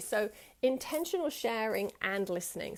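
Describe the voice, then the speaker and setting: Here a woman speaks. Her pitch is fairly high. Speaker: women's circle facilitator and trainer. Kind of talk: live-streamed online teaching session. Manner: fast; warm, affectionate.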